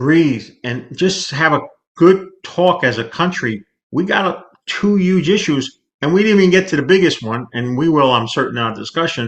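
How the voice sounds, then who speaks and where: Against a quiet background, a man with an unremarkable speaking voice talks at a moderate pace with lively intonation. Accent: American. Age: 60s. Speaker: market commentator, financial planner. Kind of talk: interview.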